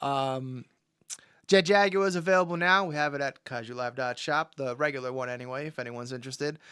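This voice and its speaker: The tone is bright and sharp, with ordinary pitch variation at a very fast pace. The recording is very clean, with a silent background. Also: man, fairly high pitch for a man. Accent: New York. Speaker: toy collector livestream host. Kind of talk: casual livestream chat. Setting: live stream. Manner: casual, halting with many fillers.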